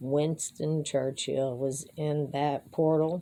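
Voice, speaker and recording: A woman talks at a very slow pace. The recording is very clean, with a silent background. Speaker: amateur musician and vlogger. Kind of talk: casual monologue.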